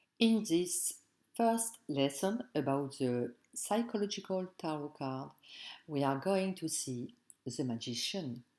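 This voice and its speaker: Over a very clean recording with a silent background, a woman speaks very slowly with a very deep, low pitch, a dark, mellow tone and very wide pitch swings. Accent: French. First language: French. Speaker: tarot teacher. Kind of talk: tutorial. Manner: halting, non-fluent English.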